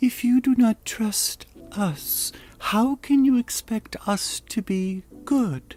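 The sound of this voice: Pitched fairly high, a put-on character voice moves at a very slow pace.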